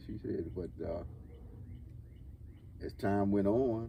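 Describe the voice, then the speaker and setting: With an American accent, a man with a fairly low pitch speaks at a fairly slow pace in a dark, mellow, somewhat breathy tone with lively intonation. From Washington, D.C., USA. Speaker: former Air Force serviceman. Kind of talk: interview answer. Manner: rambling, hesitant.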